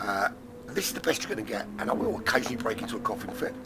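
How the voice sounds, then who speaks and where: Someone with an English accent speaks over noticeable background noise. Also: man. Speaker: sim racing commentator. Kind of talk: live commentary. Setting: studio. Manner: hesitant, many fillers.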